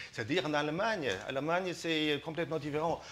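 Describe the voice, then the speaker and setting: A man with a non-native accent and a fairly high pitch talks at a fairly quick pace in a bright, sharp tone. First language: not French (speaking French). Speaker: business representative. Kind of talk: TV talk show interview. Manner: halting, many hesitations.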